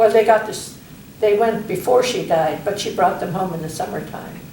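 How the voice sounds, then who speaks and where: Amid noticeable background noise, a woman talks at a moderate pace, her intonation fairly even. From Holikachuk, Alaska. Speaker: Athabascan elder. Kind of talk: oral history interview answer.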